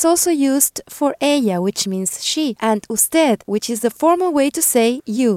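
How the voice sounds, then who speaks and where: In a Spanish accent, a woman with a high pitch speaks at a fairly slow pace with lively intonation, in a dry, close sound with no echo. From Peru. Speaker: language teacher, podcast co-host, former DJ. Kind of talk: language lesson.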